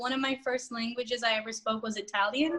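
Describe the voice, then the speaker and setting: Over noticeable background noise, a woman with a Spanish accent speaks fairly quickly at a high pitch. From Orlando, Florida. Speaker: real estate agent. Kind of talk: interview.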